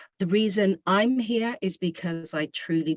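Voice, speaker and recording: A woman's fairly slow speech in a dry, close sound with no echo. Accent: British. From Britain. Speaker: school administrator, service learning director. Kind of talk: presentation to parents.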